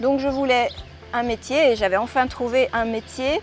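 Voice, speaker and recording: With music in the background, the speaker talks at a fairly slow pace. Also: woman. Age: 60s. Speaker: former airline pilot, yoga teacher and author. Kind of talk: testimony. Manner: hesitant, many fillers.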